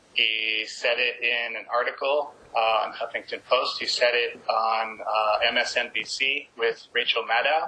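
Noticeable background noise sits behind this recording. A man with an American accent speaks at a very slow pace. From California. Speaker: activist outreach director. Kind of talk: activist speech.

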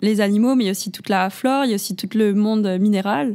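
Here is a normal speaking voice at a fairly quick pace. The recording is very clean and the background silent. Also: woman. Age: 20s. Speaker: podcast host. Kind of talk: interview.

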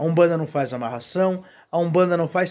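A man with a Brazilian accent speaks at a high pitch in a warm tone. His pitch variation is ordinary. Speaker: Umbanda religious leader and video host. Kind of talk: sermon-like reflective talk. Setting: video channel, single speaker. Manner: earnest, preachy, repetitive emphasis; measured, warm, pastoral. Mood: earnest, preaching. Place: garden. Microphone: phone near.

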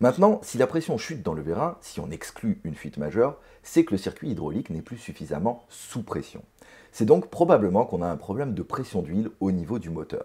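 In a dark, mellow tone, a man talks at a fairly quick pace with very wide pitch swings and big swings in loudness against a quiet background. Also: fairly low pitch for a man. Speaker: helicopter pilot vlogger. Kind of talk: explanatory vlog narration. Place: home room.

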